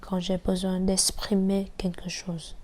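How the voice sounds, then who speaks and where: Somewhat breathy and dark, mellow in tone, a woman speaks at a medium pitch in a flat monotone. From Vietnam. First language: Vietnamese (speaking French). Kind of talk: personal testimony.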